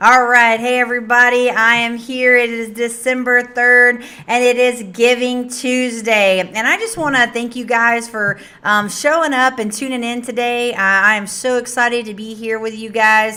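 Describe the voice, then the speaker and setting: Loud and bright with a sharp tone, a woman talks at a moderate pace in a high pitch, her intonation monotone and flat, with hardly any pauses. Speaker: nonprofit director hosting livestream. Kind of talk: casual livestream address. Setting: live stream.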